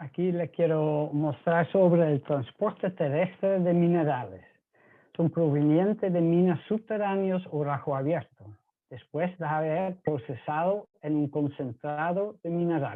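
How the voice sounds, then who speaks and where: A man speaks with a Dutch accent at a high pitch. He goes at a fairly slow pace with ordinary pitch variation. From Netherlands. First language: Dutch (speaking Spanish). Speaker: mining pump supplier, engineer. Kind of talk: presentation.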